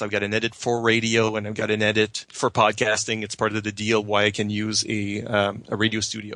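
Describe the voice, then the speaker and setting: In a French Canadian accent, a man speaks fairly quickly with a fairly low pitch and flat, monotone intonation, his bright, sharp tone captured in a dry, close sound with no echo. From Quebec, Canada. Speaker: podcaster and blogger. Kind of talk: casual chat.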